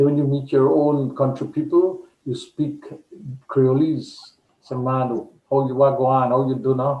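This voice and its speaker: This man talks with a Guyanese accent, and audible room echo surrounds his voice. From Guyana, east coast of Demerara. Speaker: poet. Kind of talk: interview.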